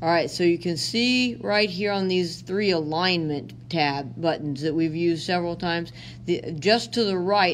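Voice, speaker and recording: A woman speaks at a fairly slow pace in a fairly low pitch, with ordinary pitch variation and audible room echo. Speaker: teacher. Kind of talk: tutorial.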